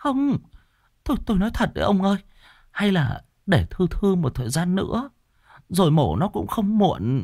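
In a put-on character voice, a man speaks at a high pitch with big pitch swings, a slightly mellow tone and a moderate pace, on a very clean recording with a silent background.

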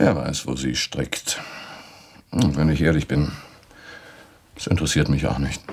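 In a put-on character voice with a husky, rough edge and a slightly mellow tone, the speaker moves at a fairly slow pace with fairly even intonation. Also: man, extremely low pitch for a man.

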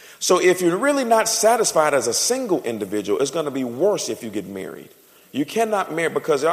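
A man rattles off his words very fast while noticeable noise sits behind him. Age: 40s. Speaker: pastor. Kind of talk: sermon.

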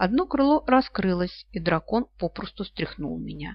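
The voice reads aloud in a natural way. Its intonation is lively.

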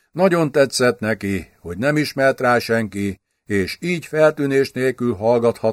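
The background stays quiet. A passage is read aloud in a natural voice.

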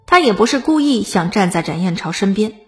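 An unforced reading voice carries lively intonation from start to finish.

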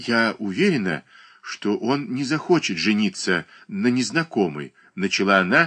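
Simple reading aloud

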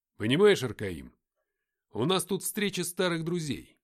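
A man puts on a character voice at a fairly high pitch, with very wide pitch swings and a fairly slow pace. The recording is very clean, with a silent background.

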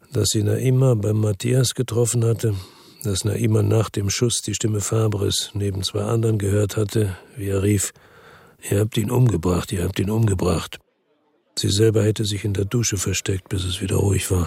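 Using a put-on character voice, a man speaks at a moderate pace and fairly low pitch, with a slightly mellow tone, vocal fry, a husky, rough edge and little pitch movement.

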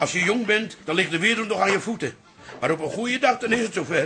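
A put-on character voice from a man, high-pitched with a bright, sharp tone and a husky, rough edge, fast and lively in intonation

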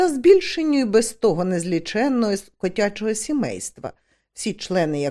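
A natural reading voice set against a quiet background.

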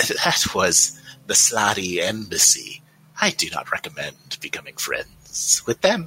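A man uses a put-on character voice. He talks at a fairly slow pace. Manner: formal, calm, dry.

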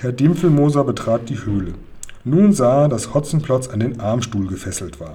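A natural reading voice with lively intonation.

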